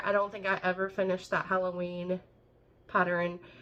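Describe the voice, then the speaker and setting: In an American accent, a woman speaks at a moderate pace. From Texas, small town. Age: 30s. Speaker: cross-stitch vlogger. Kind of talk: casual vlog chat.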